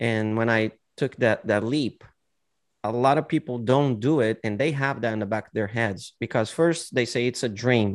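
A man speaks with a Brazilian accent at a medium pitch. His pace is moderate. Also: ordinary pitch variation. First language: Portuguese. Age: 40s. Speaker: singer-songwriter and martial arts teacher. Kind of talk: casual interview chat. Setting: video call.

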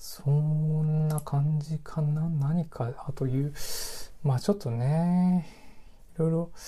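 This man has a fairly high pitch, a dark, mellow tone and a somewhat breathy quality, recorded very cleanly against a silent background. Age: 30s. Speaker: podcast host. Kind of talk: solo casual monologue.

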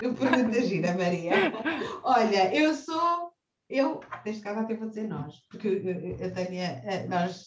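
Audible room echo surrounds a woman's voice. She talks at a fairly slow pace with lively intonation. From Portugal, Cascais. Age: 30s. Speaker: personal finance advisor. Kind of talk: interview. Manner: halting, frequent repetitions.

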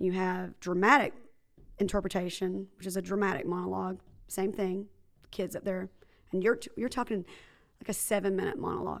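A woman's medium-pitched voice with vocal fry, fairly even intonation and a fairly quick pace broken by long, frequent pauses. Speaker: high school drama teacher and wrestling team supporter. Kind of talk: casual interview chat.

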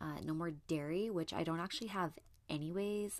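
Using an ordinary speaking voice, a woman talks at a fairly low pitch with ordinary pitch variation. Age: 30s. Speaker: podcast host. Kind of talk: casual monologue.

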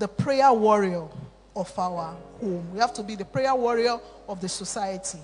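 Music plays in the background while the speech runs at a moderate pace. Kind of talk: sermon, altar-call prayer. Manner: fervent, repetitive, exhortative preacher's cadence, urgent and imploring.

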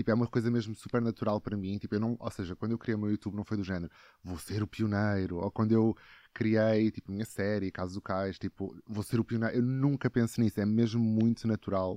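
A man speaks at a fairly quick pace in a fairly low pitch, with fairly even intonation and an ordinary speaking voice. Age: 20s. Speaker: actor and TikTok creator. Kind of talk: casual chat.

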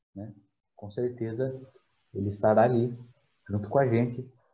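Intonation is fairly level throughout. There's a somewhat breathy quality to the voice. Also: man. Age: 20s. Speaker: church community group leader. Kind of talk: casual faith conversation.

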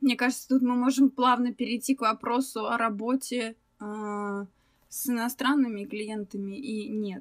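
At a fairly slow pace, a woman talks in a high pitch with fairly even intonation. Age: 20s. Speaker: illustrator, former animator. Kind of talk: casual chat.

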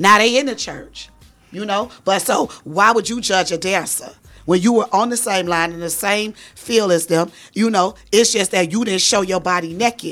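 An ordinary speaking voice from a woman, medium in pitch, at a moderate pace with ordinary pitch variation. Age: 40s. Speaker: strip club house mom. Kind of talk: casual interview.

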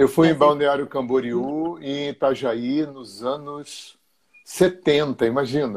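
The man's voice is fairly high and his intonation fairly even. He speaks very slowly, with big swings in loudness. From Rio de Janeiro, Brazil. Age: 60s. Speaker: therapist and energy alignment teacher. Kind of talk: interview on a live stream.

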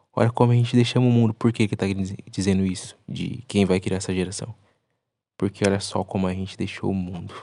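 Against a quiet background, a man with a fairly low voice and a dark, mellow tone talks fairly quickly with fairly even intonation. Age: 20s. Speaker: podcast host and content creator. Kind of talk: solo podcast monologue analyzing song lyrics. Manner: casual, colloquial.

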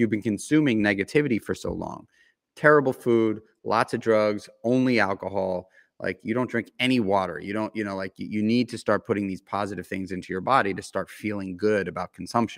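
A man with an ordinary speaking voice and an American accent, fairly low pitch, ordinary pitch variation and a fairly quick pace, in a dry, close sound with no echo on a very clean recording with a silent background. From New York City (Manhattan). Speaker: entrepreneur. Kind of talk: interview.

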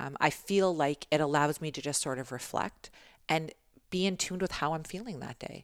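A woman's very deep, low voice in a Canadian accent, with ordinary pitch variation and a moderate pace. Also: very clean recording, silent background. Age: 40s. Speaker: corporate business development director. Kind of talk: casual interview. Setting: in person.

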